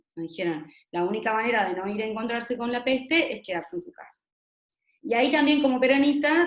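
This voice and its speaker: A woman at a very fast pace, fairly high in pitch, with lively intonation. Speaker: gender violence expert speaker. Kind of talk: talk-debate presentation.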